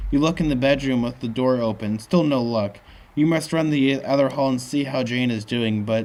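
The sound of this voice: This unforced reading voice has ordinary pitch variation.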